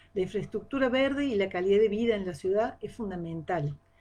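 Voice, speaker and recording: Set against a quiet background, the voice has a dark, mellow tone and a moderate pace. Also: woman. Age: 60s. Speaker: agronomist giving a talk. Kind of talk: live-streamed talk. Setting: live stream. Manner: hesitant, many fillers.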